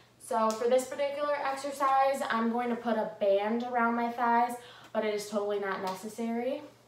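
Over light background noise and audible room echo, a woman speaks at a moderate pace. Her intonation stays fairly even. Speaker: fitness instructor. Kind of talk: tutorial. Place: home room. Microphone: camera far.

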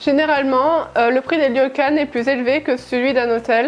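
At a moderate pace, a woman speaks in a high voice with fairly even intonation. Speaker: travel vlogger. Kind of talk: casual vlog chat. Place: home room. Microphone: lapel.

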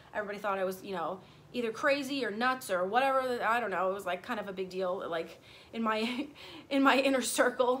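Over light background noise, a woman races along at a very fast pace with lively intonation. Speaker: vlogger. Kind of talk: casual vlog storytime. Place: garden. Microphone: phone near.

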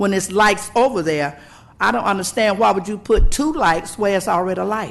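With an American accent, a woman speaks at a medium pitch that makes very wide swings. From US South. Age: 70s. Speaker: local resident. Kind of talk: public comment. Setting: public meeting.

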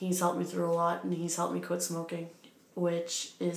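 The intonation stays flat and monotone. Audible room echo surrounds the voice. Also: woman. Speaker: vlogger. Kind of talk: casual vlog chat. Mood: warm, reflective. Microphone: phone near.

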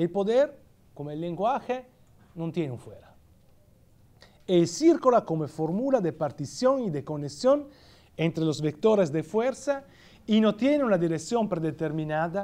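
An Italian accent marks this man's dark, mellow, high-pitched voice, which swings very widely in pitch at a fairly slow pace with long, frequent pauses. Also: big swings in loudness. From Italy. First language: Italian (speaking Spanish). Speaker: philosophy professor; guest lecturer, professor. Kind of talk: lecture. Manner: halting. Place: hall.

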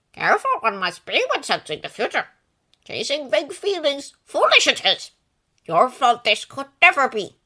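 A woman puts on a character voice, high-pitched with very wide pitch swings, speaking in a calm tone at a moderate pace. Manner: calm, backwards inverted speech; kind, gently amused.

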